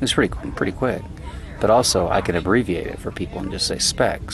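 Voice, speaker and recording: Background noise is noticeable. Over it, a man speaks fairly quickly. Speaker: festival attendee. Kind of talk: casual chat. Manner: halting.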